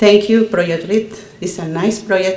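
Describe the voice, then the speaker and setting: A woman speaks with a Nicaraguan accent and fairly even intonation. Noticeable background noise runs underneath. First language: Spanish. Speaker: adult English learner. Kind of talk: prepared speech at ceremony. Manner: halting.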